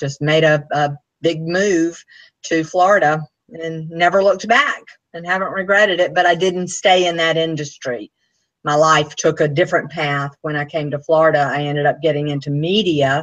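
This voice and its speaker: A woman with a Southern US accent, a very deep, low pitch, fairly even intonation and a moderate pace. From US South, Anniston, Alabama. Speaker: author and speaker. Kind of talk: interview.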